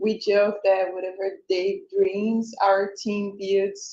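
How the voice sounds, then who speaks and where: A woman speaks at a medium pitch in a monotone, flat delivery, with a Brazilian accent. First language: Portuguese. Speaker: tech company co-founder. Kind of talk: event presentation. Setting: live event with audience.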